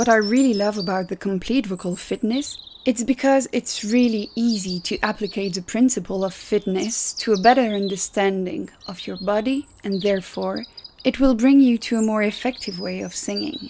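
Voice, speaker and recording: Speaking in a Belgian accent, a woman with a fairly high pitch and ordinary pitch variation keeps a moderate pace over noticeable background noise. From Belgium. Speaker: podcast host. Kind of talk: podcast interview.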